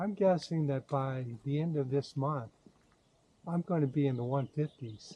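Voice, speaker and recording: This man's voice is somewhat breathy with a dark, mellow tone. His pitch sits fairly high. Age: 70s. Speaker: YouTuber sharing diet experience. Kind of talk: casual vlog monologue. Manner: halting, with many fillers.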